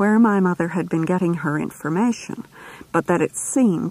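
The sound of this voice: The pitch varies in an ordinary way across this unforced reading voice.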